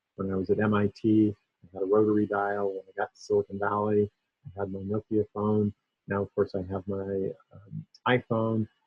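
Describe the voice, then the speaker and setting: Over music in the background, a man with a fairly low pitch talks at a moderate pace in a monotone, flat intonation. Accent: American. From US Northeast (Maine). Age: 60s. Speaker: tech researcher and keynote speaker. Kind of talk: conference keynote. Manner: conversational with frequent fillers.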